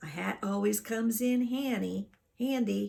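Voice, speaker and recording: The voice is a put-on character voice with a fairly high pitch. It moves at a moderate pace. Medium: read story.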